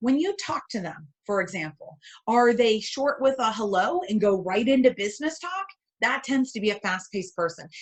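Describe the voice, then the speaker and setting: A woman speaks loudly at a moderate pace. Her pitch swings very widely. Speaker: keynote speaker and sales coach. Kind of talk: webinar presentation. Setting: online webinar.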